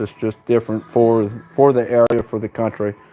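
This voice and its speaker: Speaking at a fairly quick pace, a man with a medium pitch keeps his intonation monotone and flat. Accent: Southern US. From US South. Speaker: horse trainer. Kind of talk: live stream Q&A.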